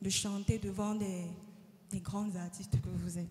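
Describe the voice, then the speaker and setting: A woman's intonation stays fairly even as noticeable background noise continues behind her. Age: 20s. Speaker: audition contestant, singer. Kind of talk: interview.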